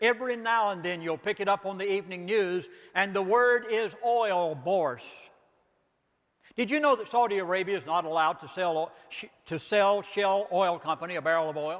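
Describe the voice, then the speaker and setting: With a Southern US accent, this voice shows normal variation in pitch. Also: man, high pitch for a man. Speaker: pastor and author. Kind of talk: lecture. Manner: fast; animated.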